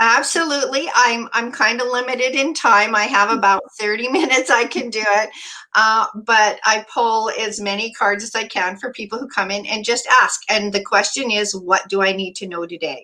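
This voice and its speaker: A woman with a Canadian accent uses a normal speaking voice at a fairly high pitch with ordinary pitch variation. She keeps a moderate pace with hardly any pauses. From Alberta, Canada. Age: 60s. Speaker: Reiki practitioner and oracle reader. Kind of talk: interview.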